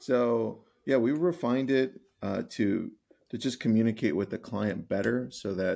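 A man's vocal fry with an American accent, on a very clean recording against a silent background. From Los Angeles, California. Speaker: real estate coach and author. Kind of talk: interview conversation.

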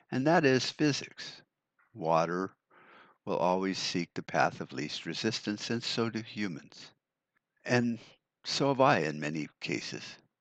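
A man's fairly slow speech, full of very wide pitch swings and long, frequent pauses. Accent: American. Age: 60s. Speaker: podcaster on prepping and survival. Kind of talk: solo podcast monologue. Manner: casual, with fillers and repetitions.

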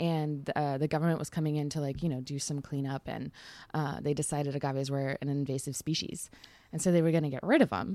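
A woman speaks with a very deep, low pitch at a moderate pace. The recording is very clean, the background silent. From Texas. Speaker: journalist and author. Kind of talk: casual chat. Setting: in person at a drinks conference.

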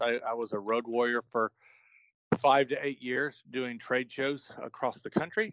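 A man with an ordinary speaking voice, medium pitch and moderate pace, dry and close with no echo, over a quiet background. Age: 40s. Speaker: grading company executive. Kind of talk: interview.

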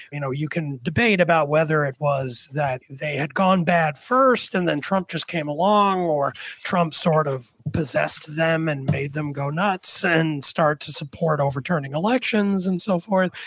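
On a very clean recording with a silent background, a man with a plain, everyday voice talks at a moderate pace with hardly any pauses. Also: fairly high pitch for a man, ordinary pitch variation. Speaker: panel regular and columnist. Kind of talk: political roundtable discussion.

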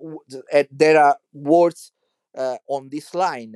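Speaking very slowly in an Italian accent, a man has a fairly high pitch and a dry, close sound with no echo. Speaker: church musician and podcaster. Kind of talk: monologue commentary. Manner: halting.

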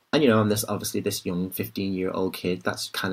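A man speaks with a Liverpool accent. His pitch is very deep and low, with ordinary variation. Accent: Liverpool (Scouse). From Liverpool, northern England. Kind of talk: interview conversation.

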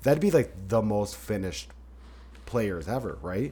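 With a very deep, low pitch and vocal fry, a man talks at a fairly quick pace in a dark, mellow tone, his pitch swinging very widely. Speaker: podcast host. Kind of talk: casual sports-talk podcast chat. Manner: fearful of solo openings, stumbles on words.

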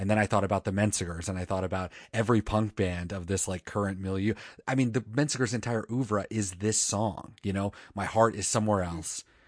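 In a plain, everyday voice, a man speaks at a fairly low pitch with fairly even intonation against a quiet background. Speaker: music podcast host. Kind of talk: casual chat. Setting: remote recording, co-hosts in different states. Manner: playful, joking.

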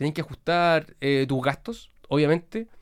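Speaking in a Chilean accent, a man uses a high pitch. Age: young. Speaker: lawyer and influencer. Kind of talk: casual interview chat.

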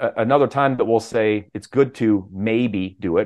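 Ordinary pitch variation in an ordinary speaking voice. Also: man. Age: 50s. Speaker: health coach. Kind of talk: interview.

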